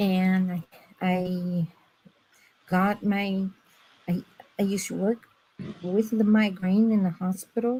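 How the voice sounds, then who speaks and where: A woman talks very slowly at medium pitch, leaving long, frequent pauses. Her tone is dark, mellow and somewhat breathy, and her intonation stays monotone and flat. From Brazil. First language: Portuguese. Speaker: former medical interpreter. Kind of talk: personal testimony in a live stream chat. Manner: sometimes halting, searching for words.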